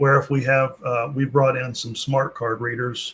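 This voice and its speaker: The man's voice is somewhat breathy. His intonation stays monotone and flat. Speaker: payment software company representative. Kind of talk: interview. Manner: hesitant, many fillers.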